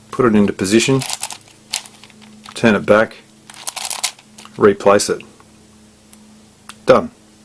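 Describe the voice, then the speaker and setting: A man's speech with long, frequent pauses over noticeable background noise. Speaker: puzzle tutorial presenter. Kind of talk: tutorial. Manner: fast.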